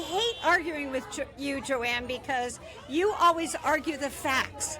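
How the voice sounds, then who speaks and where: A raised, projected voice moves at a fairly slow pace as music plays in the background and room echo is audible. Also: woman. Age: 70s. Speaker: protest organizer. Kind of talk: street interview. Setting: outdoors at a rally. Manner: animated.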